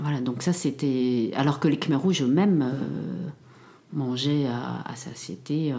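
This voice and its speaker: A woman with a very deep, low pitch talks while noticeable background noise continues. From Cambodia, raised in France from early childhood. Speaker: academic, genocide survivor. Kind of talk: testimony. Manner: halting, many repetitions and hesitations.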